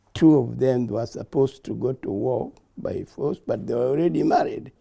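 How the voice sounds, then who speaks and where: A man with a Kenyan accent talks at a moderate pace. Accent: Kenyan (Luo) English. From Kenya, Kisumu County. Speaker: war veteran. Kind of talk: oral history interview. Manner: halting.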